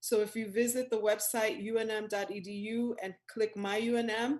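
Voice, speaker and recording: A woman's somewhat breathy, fairly high voice holds a fairly even intonation. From New York City, Dominican family. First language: Spanish. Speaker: university researcher. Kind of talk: presentation.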